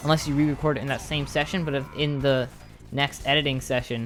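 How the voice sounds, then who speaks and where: A man talks very fast in a flat monotone at a medium pitch. Music plays behind him. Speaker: gaming YouTuber. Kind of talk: casual chat to viewers. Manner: rambling, tangential; occasional stammer.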